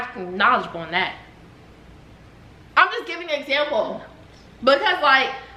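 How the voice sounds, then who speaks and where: A woman speaks in a raised, projected voice with a high pitch, an animated tone and very wide pitch swings, at a moderate pace with long, frequent pauses and big swings in loudness, over noticeable background noise and audible room echo. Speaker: YouTuber, mother. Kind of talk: heated debate.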